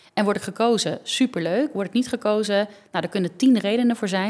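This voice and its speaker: The woman talks at a very fast pace with ordinary pitch variation. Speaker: dancer and choreographer. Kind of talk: casual interview.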